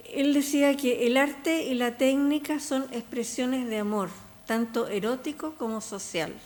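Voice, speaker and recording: This woman talks at a very slow pace. Her pitch is high, with ordinary variation. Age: 80s+. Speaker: textile artist and researcher. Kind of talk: panel talk. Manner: halting.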